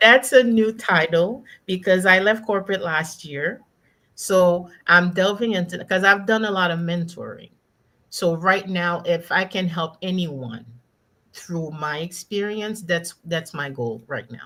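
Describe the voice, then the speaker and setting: A woman speaks at a fairly slow pace in a slight Haitian accent, her fairly low voice bright and sharp. Her pitch varies in an ordinary way, and her loudness swings widely. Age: 50s. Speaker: executive coach, former corporate finance executive. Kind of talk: panel interview. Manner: emphatic.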